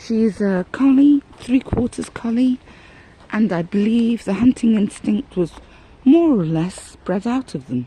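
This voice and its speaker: A woman speaks with lively intonation at a fairly slow pace. She leaves long, frequent pauses, and there is noticeable background noise. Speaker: vlogger. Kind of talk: casual vlog monologue. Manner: halting, searching for words.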